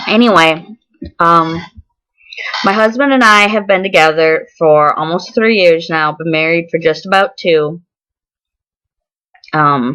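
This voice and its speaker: A woman with a fairly low pitch and a bright, sharp tone talks at a fairly slow pace with ordinary pitch variation. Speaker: vlogger. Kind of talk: personal vlog. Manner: halting, many ums and swallowing.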